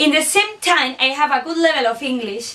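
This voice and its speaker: Against noticeable background noise, a woman speaks at a high pitch and a moderate pace with lively intonation. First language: Basque or Spanish. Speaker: student teacher. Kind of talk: scripted reflection presentation.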